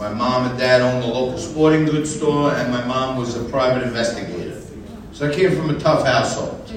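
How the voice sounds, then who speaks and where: An American-accented man talks at a fairly quick pace with a medium pitch. There is noticeable background noise behind him. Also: ordinary pitch variation. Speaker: activist and friend of the artist. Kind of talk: speech at event.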